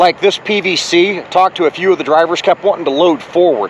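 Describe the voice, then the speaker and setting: Light background noise sits under a man speaking at a moderate pace, the sound dry with no echo. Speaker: truck driver vlogger. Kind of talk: casual vlog chat. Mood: relaxed, upbeat. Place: street. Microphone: phone near.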